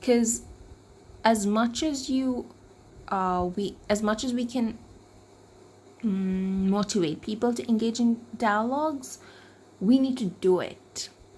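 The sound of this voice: A woman's fairly high voice with a slightly mellow tone, slow pace and ordinary pitch variation.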